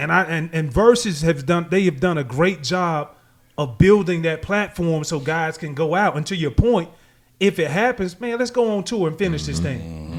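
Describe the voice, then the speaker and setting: Moderate pace and ordinary pitch variation. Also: man, high pitch for a man. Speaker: podcast host. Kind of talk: casual podcast conversation.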